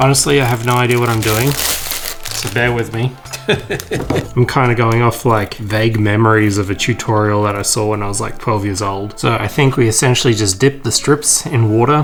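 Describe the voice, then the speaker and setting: With music in the background, the voice moves at a moderate pace with fairly even intonation. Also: man, medium pitch for a man. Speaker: miniature hobbyist YouTuber. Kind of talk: casual tutorial-style hobby vlog. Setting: at home, late at night. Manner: quiet, trying not to be loud.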